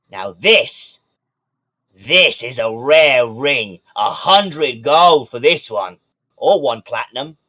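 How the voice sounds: A man puts on a character voice at medium pitch with a bright, sharp tone. He speaks at a slow pace with lively intonation.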